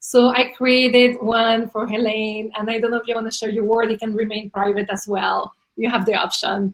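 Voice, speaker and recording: A woman's fairly high voice with a non-native accent, monotone and flat in intonation, at a moderate pace with hardly any pauses. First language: not English. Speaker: interview series host. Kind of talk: video interview.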